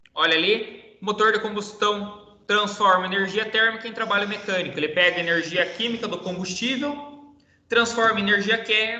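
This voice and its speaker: In a raised, projected voice with high pitch and fairly even intonation, a man speaks at a moderate pace, with audible room echo and noticeable background noise. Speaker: teacher. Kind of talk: online lecture.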